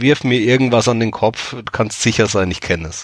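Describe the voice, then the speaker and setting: Here a man speaks at a moderate pace. He has an ordinary speaking voice at a medium pitch. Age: 30s. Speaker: anthology editor. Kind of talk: casual chat.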